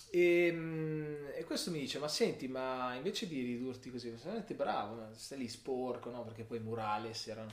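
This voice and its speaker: Over noticeable background noise and audible room echo, a man speaks at a moderate pace. His intonation is lively. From Milan, Italy. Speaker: character designer. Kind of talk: casual interview chat.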